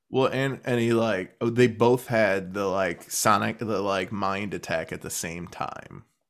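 On a very clean recording with a silent background, a man in a normal speaking voice talks fairly low and fairly slowly, with hardly any pauses. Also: ordinary pitch variation. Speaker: podcast host. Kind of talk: casual banter about a TV show. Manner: joking, playful.

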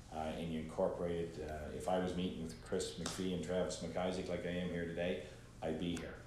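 A man with a very deep, low pitch talks at a fairly quick pace in a monotone, flat way. His voice is somewhat breathy, and room echo is audible. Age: 50s. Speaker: entrepreneur and former school principal. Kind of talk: casual interview. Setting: studio.

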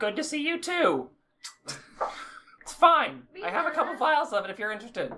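A put-on character voice, female-sounding and high-pitched, moving at a fairly quick pace with long, frequent pauses. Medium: actual play. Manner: curt, dry.

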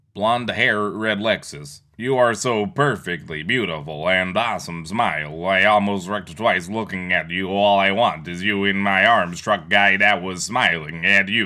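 A man puts on a robotic character voice at a fairly low pitch and a moderate pace, with hardly any pauses. The recording is very clean with a silent background.

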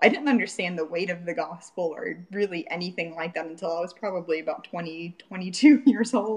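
A woman with an American accent and a plain, everyday voice, fairly low in pitch with ordinary variation, at a moderate pace with hardly any pauses and big swings in loudness. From Florida. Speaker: churchgoer sharing faith story. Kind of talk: testimony. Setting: remote call.

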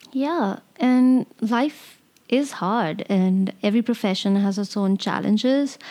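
Pitched fairly high, a woman speaks in a dark, mellow tone. Her pace is very slow, with ordinary pitch variation. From India. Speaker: podcast co-host. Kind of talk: casual chat.

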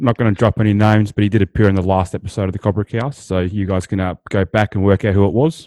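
With a dark, mellow tone and an Australian accent, the speaker goes at a very fast pace with hardly any pauses and fairly even intonation, in a dry, close sound with no echo. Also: man, fairly low pitch for a man. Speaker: podcast co-host. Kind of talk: casual interview.

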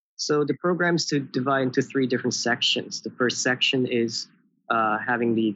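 At a moderate pace and medium pitch, a man with an unremarkable speaking voice talks with ordinary pitch variation. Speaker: university student. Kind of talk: interview. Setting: video call.

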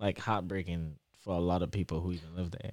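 A man with an American accent speaks at a very deep, low pitch and fairly even intonation. The recording is very clean, with a silent background. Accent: Trinidadian English, shifting toward American. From Trinidad and Tobago. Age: 20s. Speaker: PhD student. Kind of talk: casual interview chat.

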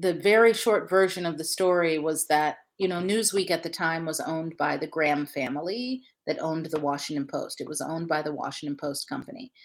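Speaking at a fairly quick pace with an American accent, a woman has an ordinary speaking voice, a fairly low pitch and ordinary pitch variation. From Ohio. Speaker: journalism fellowship director. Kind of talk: interview.

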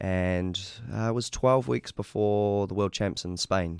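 A man with a New Zealand accent speaks at a fairly low pitch with ordinary pitch variation. The recording is very clean, dry and close, with a silent background and no echo. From New Zealand, Auckland. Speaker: martial arts champion. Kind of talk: casual interview. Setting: studio.

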